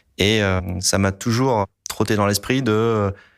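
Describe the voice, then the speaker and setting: A fairly low-pitched man on a very clean recording with a silent background. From La Réunion. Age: 40s. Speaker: environmental engineer. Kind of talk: interview testimony. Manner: hesitant, frequent filler sounds.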